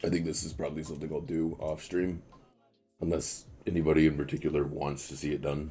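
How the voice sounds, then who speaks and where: Music plays behind a man with a very deep, low pitch. He talks at a very fast pace with monotone, flat intonation. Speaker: game streamer. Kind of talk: casual livestream commentary. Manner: casual, hesitant with fillers.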